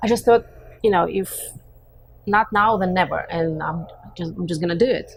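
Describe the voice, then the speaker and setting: A woman with a Russian accent at a medium pitch, somewhat breathy, at a moderate pace with ordinary pitch variation and long, frequent pauses. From Russia, Western Siberia. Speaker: real estate agent. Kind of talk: casual interview.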